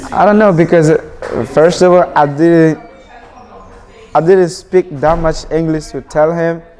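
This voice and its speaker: Noticeable background noise behind a man's fairly high voice, moderate in pace, with fairly even intonation. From Burkina Faso, West Africa. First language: not English. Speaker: immigrant student. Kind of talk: interview testimony.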